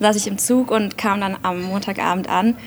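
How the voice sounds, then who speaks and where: A woman talks in a monotone, her intonation flat, while noticeable background noise carries on around her. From Germany, Aachen. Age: 30s. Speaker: politician. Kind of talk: interview.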